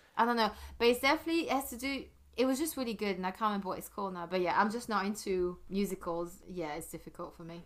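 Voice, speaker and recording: Talking at a very fast pace, a woman at medium pitch uses lively intonation with big swings in loudness. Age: 40s. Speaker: podcaster. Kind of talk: casual chat.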